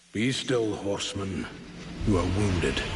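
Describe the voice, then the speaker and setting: A put-on character voice from a man, fairly low in pitch, solemn in tone, at a moderate pace, with audible echo. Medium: video game. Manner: solemn, chuckling.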